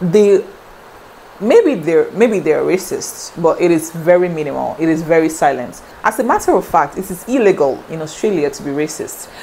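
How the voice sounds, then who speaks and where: Over noticeable background noise, a woman speaks at a moderate pace in a fairly low voice. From Nigeria. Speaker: vlogger. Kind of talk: casual talk to camera.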